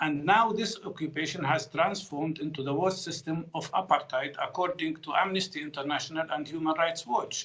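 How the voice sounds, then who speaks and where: Over noticeable background noise, a man talks with fairly high pitch and ordinary pitch variation, hardly pausing at all. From Palestine, Jerusalem. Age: 60s. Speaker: physician and political commentator. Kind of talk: news interview.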